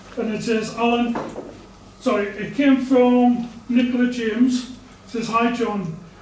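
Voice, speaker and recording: Extremely high in pitch, a man's voice runs monotone and flat. The room echo is audible, with light background noise. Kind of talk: public participation statement. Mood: aggrieved, complaining. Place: meeting room. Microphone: camera far.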